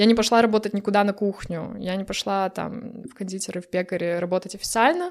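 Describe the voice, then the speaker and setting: In a very clean recording with a silent background, a woman of medium pitch races along at a very fast pace with ordinary pitch variation. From Belarus, Brest. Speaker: pastry chef and baker. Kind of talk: casual interview.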